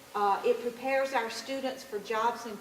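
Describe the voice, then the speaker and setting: In a room with audible echo, a woman speaks at a fairly high pitch with monotone, flat intonation. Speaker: education presenter. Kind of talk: public presentation. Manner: loud.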